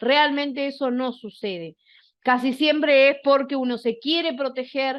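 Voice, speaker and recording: Ordinary pitch variation in a woman's high voice. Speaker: workshop instructor. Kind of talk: lecture.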